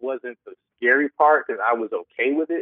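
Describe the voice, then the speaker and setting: This man speaks with an American accent at a fairly high pitch. His pitch varies an ordinary amount. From Detroit, US Midwest. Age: 30s. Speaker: musician and producer. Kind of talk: interview.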